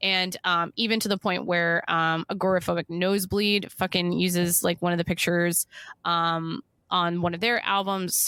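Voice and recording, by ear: This is a woman speaking. She has a Western New York accent.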